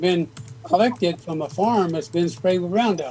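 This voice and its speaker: A man speaks at a high pitch and a fairly quick pace. Music plays in the background. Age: 80s+. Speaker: gardening YouTuber. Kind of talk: casual chat.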